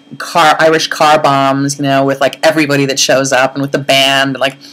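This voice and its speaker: A woman speaks with a very deep, low voice. Music plays in the background. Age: 30s. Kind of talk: casual video blog to camera. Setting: blown-out audio. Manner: rambling, chatty.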